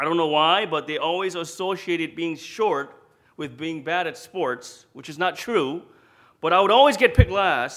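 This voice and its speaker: With big swings in loudness, a man speaks at a moderate pace in a high voice with ordinary pitch variation. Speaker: pastor. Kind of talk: sermon.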